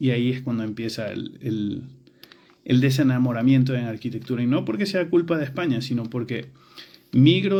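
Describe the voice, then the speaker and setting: With a Venezuelan accent, a man speaks fairly quickly in a dark, mellow tone with ordinary pitch variation, and audible room echo surrounds his voice. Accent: Latin American (Venezuelan). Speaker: architecture educator. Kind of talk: personal storytelling monologue. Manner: hesitant with filler words and repetitions.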